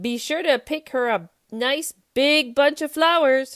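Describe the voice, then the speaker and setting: In a put-on character voice, this woman talks fairly slowly at a high pitch. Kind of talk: children's read-aloud. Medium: read story. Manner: sly, scheming.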